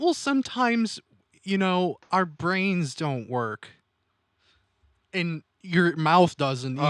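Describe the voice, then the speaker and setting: In an American accent, the speech comes at a very slow pace with long, frequent pauses. The recording is very clean, with a silent background. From Midwestern US.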